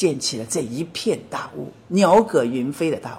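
Her voice dark and mellow with vocal fry, a woman speaks with very wide pitch swings. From Shanghai, China. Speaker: documentary filmmaker of ancient villages. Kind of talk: interview.

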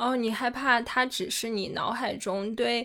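A woman speaks in a plain, everyday voice, fairly high in pitch. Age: young. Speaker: podcast co-host. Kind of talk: casual chat.

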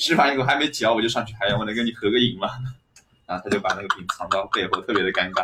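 His pitch is medium for a man. He speaks very fast. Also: ordinary pitch variation. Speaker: stand-up comedian. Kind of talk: casual chat.

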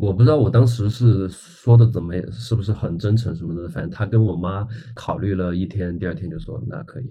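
A man with a fairly low, somewhat breathy voice and a dark, mellow tone speaks at a fairly quick pace with hardly any pauses, lively intonation, and big swings in loudness. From small Chinese city. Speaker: rock band guitarist. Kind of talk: casual chat.

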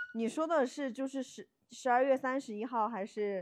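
A woman's high voice with ordinary pitch variation, at a moderate pace against a quiet background. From Yunnan, China. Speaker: podcast co-host. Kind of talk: casual chat.

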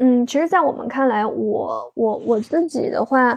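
Over a quiet background, a woman with a high pitch speaks at a fairly slow pace. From Sichuan, China. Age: 20s. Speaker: insurance broker, former product manager, podcast host. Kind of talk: interview answers. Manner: halting, many fillers and repetitions.

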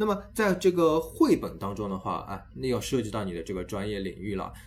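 There is music in the background. A man speaks over it with lively intonation. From Shanghai, China. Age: 30s. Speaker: education podcast host. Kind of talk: casual interview chat.

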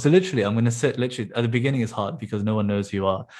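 This is a very clean recording with a silent background. The speaker is a man. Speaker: startup founder, software developer. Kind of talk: casual chat.

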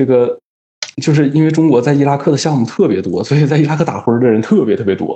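A man at a very fast pace with lively intonation. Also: fairly high pitch for a man. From Northeast China (Daqing). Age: 20s. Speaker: engineer working in Africa. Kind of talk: casual interview. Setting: remote call. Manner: calm.

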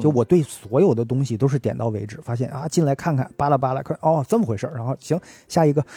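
Somewhat breathy, with a dark, mellow tone, a man talks at a very fast pace in a dry, close sound with no echo. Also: medium pitch for a man, ordinary pitch variation. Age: middle-aged. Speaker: podcast host. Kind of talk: casual chat. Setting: at home.

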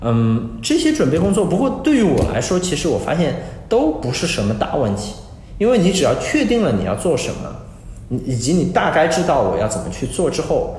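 This man talks fairly quickly, his voice carrying audible room echo amid noticeable background noise. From China, Suzhou (Jiangsu). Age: 30s. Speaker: crypto asset firm CEO. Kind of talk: interview. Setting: remote online call. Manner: halting with fillers.

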